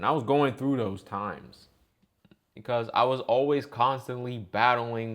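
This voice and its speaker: A man talks at a medium pitch with fairly even intonation. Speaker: gaming youtuber. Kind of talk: personal rant monologue. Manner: flat, straight-faced delivery; hesitant, many fillers.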